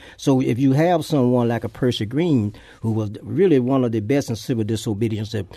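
A man speaks at a fairly quick pace in a medium pitch with a dark, mellow tone. His pitch variation is ordinary. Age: 70s. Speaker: civil rights activist. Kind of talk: radio interview. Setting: studio.

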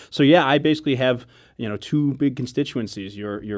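In an American accent, a man speaks at a fairly quick pace with lively intonation. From Chicago south suburbs, Illinois. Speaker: city alderman. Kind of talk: radio interview. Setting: studio.

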